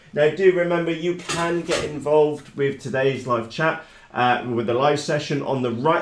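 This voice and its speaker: Audible room echo surrounds a man speaking at a moderate pace with hardly any pauses. His pitch varies in an ordinary way. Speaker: hobby channel host. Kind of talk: live stream chat. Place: workshop.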